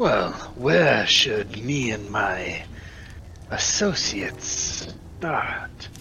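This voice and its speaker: Using a put-on character voice, a man talks at a medium pitch with very wide pitch swings. He goes very slowly with long, frequent pauses, and clear background noise is present. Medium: actual play. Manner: formal, measured, polite.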